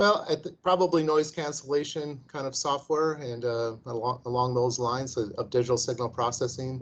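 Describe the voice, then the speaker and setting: A man in an American accent, at a medium pitch with ordinary pitch variation. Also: moderate pace, hardly any pauses. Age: 60s. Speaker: investment firm founder, former engineer. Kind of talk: interview. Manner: halting, many repeated words.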